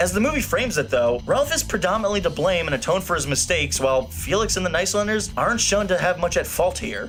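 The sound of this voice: With clear music behind him, a man talks fast with few pauses in a high pitch that swings widely.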